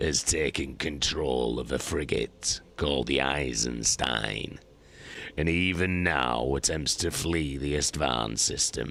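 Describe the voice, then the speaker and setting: Using a put-on character voice, a man speaks at a fairly slow pace with a very deep, low pitch, ordinary pitch variation and very even loudness. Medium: read story. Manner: cold, measured, menacing.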